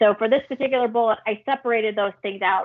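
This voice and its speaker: A woman speaks at a fairly quick pace. Her intonation stays fairly even. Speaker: wildlife agency licensing staff presenter. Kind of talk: public meeting presentation. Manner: fast.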